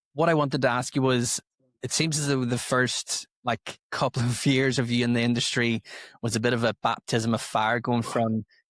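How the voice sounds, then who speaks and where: In a Northern Irish accent, the speaker talks at a moderate pace on a very clean recording with a silent background. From Northern Ireland. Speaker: podcast host and DJ. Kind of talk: casual interview chat.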